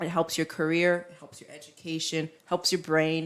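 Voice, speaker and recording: This is a woman speaking. Her pitch is fairly low. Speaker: English teacher and entrepreneur. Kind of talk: casual interview chat. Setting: live show.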